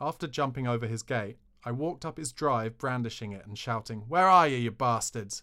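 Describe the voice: Simply plain reading aloud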